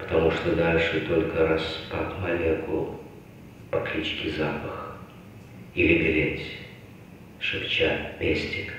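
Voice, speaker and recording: Speaking at a very slow pace with long, frequent pauses, a man is heard in strong room echo over light background noise. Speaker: stage actor. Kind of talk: poetry reading. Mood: intense, contemplative. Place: stage.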